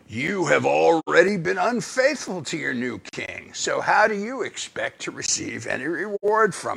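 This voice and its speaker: A put-on character voice from a man, high-pitched, at a moderate pace with hardly any pauses. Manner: evil, accusatory.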